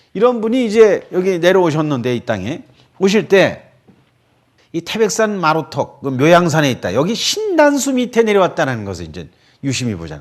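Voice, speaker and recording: With very wide pitch swings, a man talks at a moderate pace in a high pitch. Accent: slight Chungcheong. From Korea, Chungcheong family. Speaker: lecturer on Buddhism. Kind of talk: radio lecture. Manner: casual, conversational.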